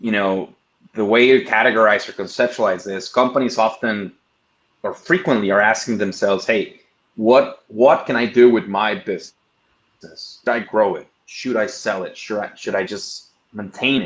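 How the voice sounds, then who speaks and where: A man speaks with a strong non-native accent. His pitch sits in the medium range. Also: ordinary pitch variation, moderate pace. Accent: thick foreign. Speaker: investment firm executive. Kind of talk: presentation. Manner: halting, repeats words.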